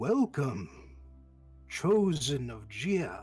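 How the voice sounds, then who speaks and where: A man puts on a booming character voice, fairly high in pitch. Clear music plays behind him. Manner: grand, ominous.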